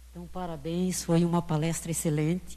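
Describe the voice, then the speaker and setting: A somewhat breathy woman's voice with a dark, mellow tone, against a quiet background. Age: 70s. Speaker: audience member. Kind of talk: audience question at a lecture Q&A.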